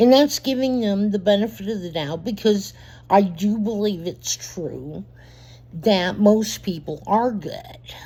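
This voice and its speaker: On a very clean recording with a silent background, the speaker goes at a fairly slow pace. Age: 60s. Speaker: vlogger. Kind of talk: casual monologue. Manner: halting.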